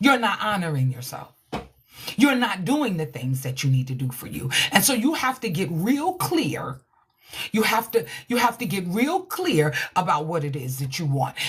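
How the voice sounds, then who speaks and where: Loud and animated, a woman with an American accent speaks at a moderate pace in a fairly low pitch, her pitch swinging very widely. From New York. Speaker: relationship coach. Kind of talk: livestream motivational talk.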